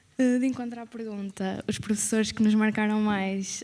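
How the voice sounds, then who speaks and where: Dark and mellow, a woman's tone comes through. She keeps a moderate pace. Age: 20s. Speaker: former student, accountant. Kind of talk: testimony at event.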